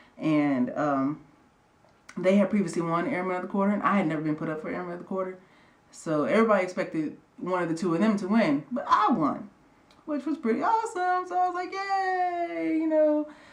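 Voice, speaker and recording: Fairly quick speech amid noticeable background noise. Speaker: air force airman vlogger. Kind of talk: casual vlog storytelling. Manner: fast-talking.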